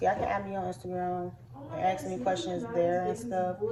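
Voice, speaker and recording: A woman at a moderate pace, very wide pitch swings, noticeable background noise. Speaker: vlogger, navy recruit. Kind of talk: casual vlog monologue. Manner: halting, filler-heavy.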